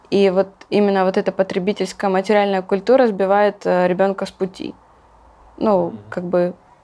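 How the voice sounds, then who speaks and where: Using a normal speaking voice at medium pitch, a woman keeps her intonation fairly even. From Ukraine, Luhansk region. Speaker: emigrant sharing life abroad. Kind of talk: interview.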